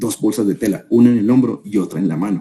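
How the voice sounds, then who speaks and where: The man's voice is fairly low and has a dark, mellow tone, with ordinary pitch variation and a moderate pace. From Colombia, Armenia (Quindío). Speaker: business consultant, guest speaker. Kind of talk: webinar talk, storytelling. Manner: conversational, with many fillers and restarts.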